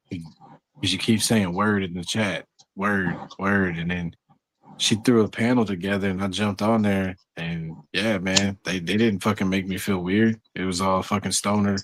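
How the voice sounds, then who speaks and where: Using monotone, flat intonation, a man with a Southern US accent talks at a fairly slow pace. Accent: Southern drawl. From Texas. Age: 30s. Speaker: stoner chat panelist, graphic artist. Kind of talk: casual chat.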